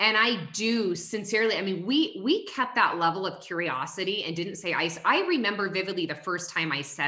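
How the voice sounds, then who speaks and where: Loud and fairly quick, a woman with a fairly low pitch speaks in very wide pitch swings over noticeable background noise. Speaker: network marketing leader and former clinician. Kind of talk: casual chat. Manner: fast.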